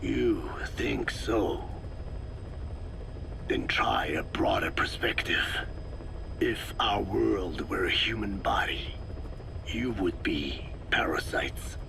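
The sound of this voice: A man's slow, whispered put-on character voice with vocal fry and long, frequent pauses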